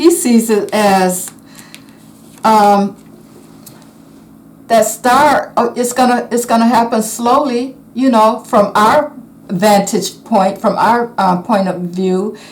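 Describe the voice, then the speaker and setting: Speaking at a very slow pace with long, frequent pauses, a woman uses a fairly high, somewhat breathy voice. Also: ordinary pitch variation. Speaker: tarot reader. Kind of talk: tarot reading monologue. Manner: halting, many fillers.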